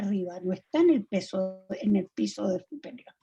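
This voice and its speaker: Her pitch rises and falls very widely. The woman's tone is dark and mellow. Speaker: participant in a religious discussion group. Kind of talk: group video call discussion.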